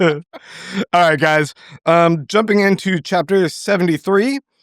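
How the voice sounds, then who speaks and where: At a fairly slow pace, a man speaks in a very clean recording with a silent background and a dry, close sound with no echo. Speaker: podcast host. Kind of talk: casual chat.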